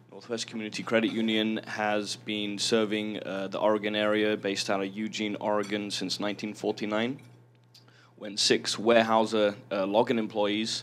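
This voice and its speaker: With an English accent, a man talks at a moderate pace in a fairly low pitch, his intonation monotone and flat. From southern England. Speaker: credit union lender. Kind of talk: panel introduction.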